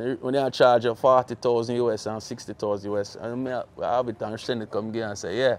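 A man's medium-pitched voice, monotone and flat in intonation. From Jamaica. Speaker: music interviewer / show host; music interviewer, show host. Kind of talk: casual interview. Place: street.

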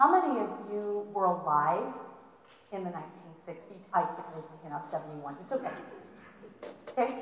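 Speaking at a fairly slow pace with long, frequent pauses, a woman uses lively intonation while light background noise and audible room echo fill the recording. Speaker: college history instructor. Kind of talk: lecture. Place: hall.

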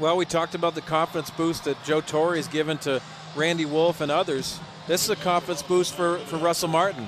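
A man speaks fairly quickly at a fairly high pitch in a monotone, flat intonation, the sound dry with no echo and noticeable background noise behind it. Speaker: radio game analyst. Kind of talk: baseball radio analysis. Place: stadium.

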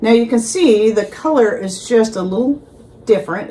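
A woman's plain, everyday voice, fairly high in pitch, at a moderate pace with ordinary pitch variation. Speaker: vlogger. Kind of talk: casual vlog monologue. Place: kitchen. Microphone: phone near.

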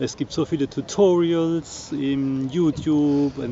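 Against noticeable background noise, a man speaks with fairly even intonation at a fairly high pitch, the sound dry with no echo. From southern Palatinate, southwest Germany; Germany. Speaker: vlogger, sailboat owner; vlogger. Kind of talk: casual vlog talk to camera. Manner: hesitant, many fillers. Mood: relaxed, friendly. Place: open country. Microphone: phone near.

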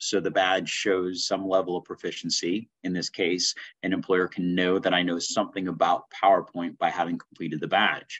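A man with a plain, everyday voice speaks at a moderate pace and a fairly low pitch over a quiet background. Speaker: instructor. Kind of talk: tutorial. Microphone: webcam.

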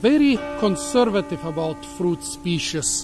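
A man is talking while clear music sounds behind him. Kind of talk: casual educational commentary. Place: garden. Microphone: phone near.

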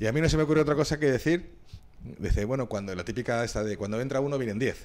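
Talking very fast, a man uses lively intonation. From Madrid, Spain; Spain. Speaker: former footballer; podcast guest. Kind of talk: casual interview. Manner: halting. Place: studio. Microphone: studio mic.

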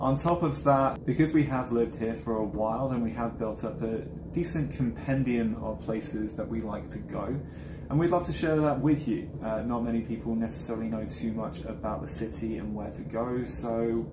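A man keeps a moderate pace while noticeable background noise runs beneath him. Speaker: travel vlogger. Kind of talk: casual vlog chat. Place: home room. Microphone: lapel.

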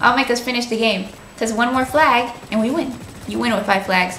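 With audible room echo and light background noise, a woman talks at a moderate pace in a high voice. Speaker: gamer streamer. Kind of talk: gameplay commentary. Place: home room.

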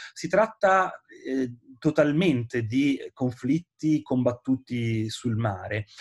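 A man with a Genoese accent, somewhat breathy, lively intonation at a very slow pace, over a quiet background. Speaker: historian and author. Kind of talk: book presentation interview. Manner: hesitant, many filler sounds. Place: home room. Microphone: webcam.

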